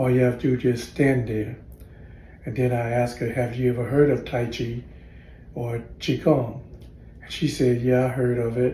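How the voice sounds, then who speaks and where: Recorded with audible room echo, a man speaks at a medium pitch in a somewhat breathy voice with a dark, mellow tone. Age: 60s. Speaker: tai chi and qigong practitioner. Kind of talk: casual storytelling monologue. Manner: halting, many fillers and restarts.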